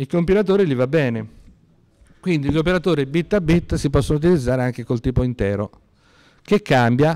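The intonation is lively as this man talks. He keeps to a moderate pace. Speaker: university lecturer. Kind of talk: lecture. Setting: classroom lecture, seated with two microphones.

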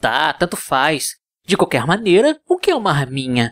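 A man puts on a character voice. He speaks at a moderate pace with a fairly high pitch. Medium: dub. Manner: mocking, playful.

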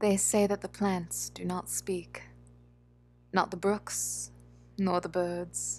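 A soft-spoken woman at a very slow pace, with long, frequent pauses over a quiet background. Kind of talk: poetry reading.

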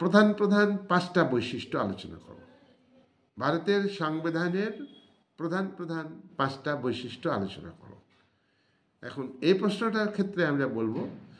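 Lively in intonation and high in pitch, a man speaks with big swings in loudness. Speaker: retired school teacher. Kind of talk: lecture. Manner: halting. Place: home room. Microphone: phone near.

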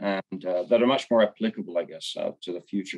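With little behind him but a quiet background, a man is talking. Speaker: panelist. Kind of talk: panel discussion answer. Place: home room. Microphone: video call.

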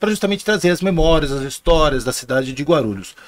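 A man's high-pitched voice rushes along at a very fast pace with lively intonation. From Ribeirão Preto, interior São Paulo state; São Paulo state, Brazil. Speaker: podcast host. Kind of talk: show host intro and promos. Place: studio. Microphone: studio mic.

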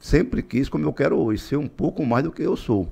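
Over a quiet background, a man talks at a fairly quick pace with lively intonation and vocal fry. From Tocantins, Brazil. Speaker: politician and businessman; politician. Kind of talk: interview. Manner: halting, repeats words. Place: studio. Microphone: studio mic.

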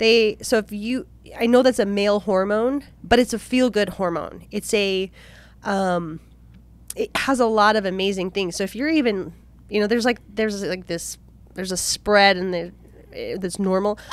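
A woman at medium pitch and moderate pace, with ordinary pitch variation and a dry sound with no echo. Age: 30s. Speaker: podcast co-host. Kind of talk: casual chat. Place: studio. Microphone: studio mic.

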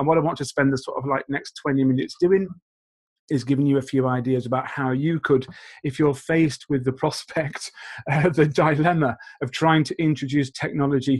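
A man's somewhat breathy, fairly high voice at a fairly quick pace, with fairly even intonation. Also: quiet background. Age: 40s. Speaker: teacher trainer. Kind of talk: conference presentation. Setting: video call. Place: home room. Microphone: webcam.

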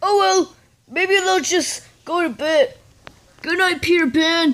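At a fairly slow pace, a put-on character voice speaks at an extremely high pitch. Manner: excitable, goofy.

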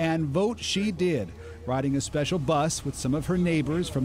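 The voice moves at a moderate pace with ordinary pitch variation. The sound is dry with no echo, over light background noise. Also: man. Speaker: TV news reporter. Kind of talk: TV news report.

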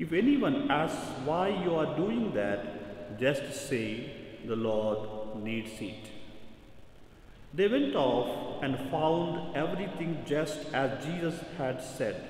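A man speaks very slowly with lively intonation and long, frequent pauses. There is audible room echo. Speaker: priest. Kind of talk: scripture reading at mass. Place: church. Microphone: podium.

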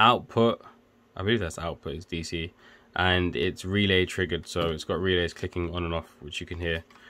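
The pitch is very deep and low. It belongs to a man. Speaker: electrical engineer and tech video maker. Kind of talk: casual tutorial. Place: home room.

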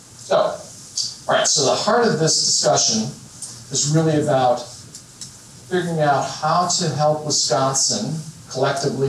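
Against light background noise and audible room echo, a man talks at a fairly slow pace with ordinary pitch variation. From northwestern Illinois. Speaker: business founder, keynote speaker; keynote speaker. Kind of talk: keynote talk. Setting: stage with audience. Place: hall.

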